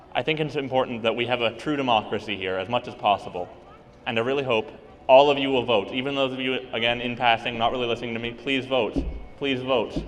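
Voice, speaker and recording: Over background music, a man speaks at a fairly quick pace with fairly even intonation. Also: medium pitch for a man. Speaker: student government candidate. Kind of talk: campaign speech. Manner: loud.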